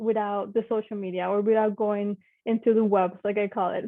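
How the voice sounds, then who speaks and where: A woman with a Spanish accent talks at a fairly quick pace in a fairly high voice. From Mexico. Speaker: engineer. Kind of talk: panel talk. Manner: casual, with many fillers.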